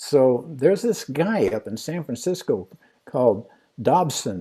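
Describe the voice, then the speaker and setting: A man with a fairly high pitch talks at a fairly slow pace, his dark, mellow voice carrying vocal fry and very wide pitch swings. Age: 80s+. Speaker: amateur astronomer. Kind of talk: storytelling in a livestream Q&A. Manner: halting.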